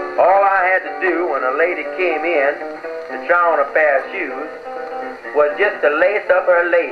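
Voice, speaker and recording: A man with an American accent speaks at a fairly slow pace and a high pitch. Background noise is noticeable. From United States. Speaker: comedian. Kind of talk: comedy monologue with guitar accompaniment. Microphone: old recording.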